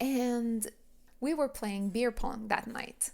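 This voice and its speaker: In a very clean recording with a silent background, a woman with a French accent talks at a very slow pace with fairly even intonation. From Quebec, Montreal area. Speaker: podcast host. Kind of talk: personal storytelling monologue. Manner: casual, conversational.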